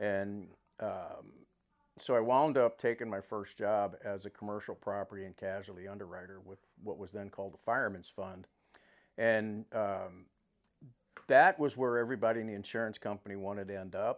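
A man with a fairly low voice and an American accent speaks at a moderate pace with fairly even intonation but big swings in loudness. The recording is very clean, with a silent background. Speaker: corporate safety executive. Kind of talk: interview. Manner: halting.

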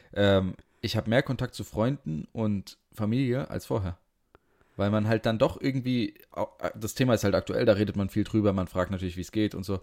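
At a moderate pace, this is an ordinary speaking voice with ordinary pitch variation. The recording sounds dry and close, with no echo. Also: man, fairly low pitch for a man. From Frankfurt, Hesse. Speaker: podcast co-host. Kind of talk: casual chat. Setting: video call from home.

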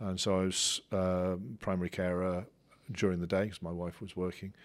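With a West Country accent, a man speaks at a moderate pace in a very deep, low pitch, on a very clean recording with a silent background. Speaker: university lecturer and doctoral student. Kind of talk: interview conversation. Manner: self-reflective, hesitant with many fillers.

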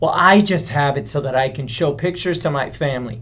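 A man is speaking. His voice has vocal fry. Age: 40s. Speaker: podcast co-host. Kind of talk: casual chat.

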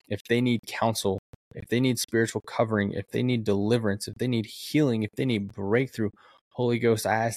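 The man's pitch sits fairly low. He talks at a fairly quick pace. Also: dry, close sound with no echo. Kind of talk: sermon-like testimony and prayer. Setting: solo podcast recording. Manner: fervent, emotional, earnest; animated, excitable.

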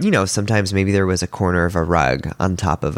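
A man's very deep, low voice with vocal fry. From Milan, Italy. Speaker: designer and letterer. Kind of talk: interview. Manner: halting.

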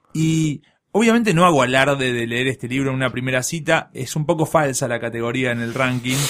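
Using an ordinary speaking voice, a man talks fairly quickly at a medium pitch, and his pitch varies in an ordinary way. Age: 30s. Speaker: podcast guest. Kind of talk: casual chat.

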